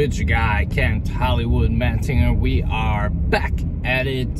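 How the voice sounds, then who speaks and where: A man's dry, echo-free voice competes with loud noise in the background. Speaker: toy hunting vlogger. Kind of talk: casual vlog chat. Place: car. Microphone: phone near.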